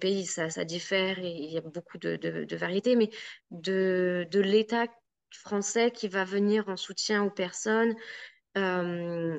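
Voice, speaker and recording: Her intonation stays fairly even. The woman's voice sits at a medium pitch. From France. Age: young. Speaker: podcast guest. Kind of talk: interview conversation. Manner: hesitant, many fillers and repetitions.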